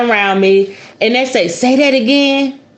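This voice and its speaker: In an American accent, a woman with a high pitch speaks at a fairly slow pace in an animated tone, with ordinary pitch variation and audible room echo. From US South. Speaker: spiritualist podcast host. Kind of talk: casual podcast talk on magic.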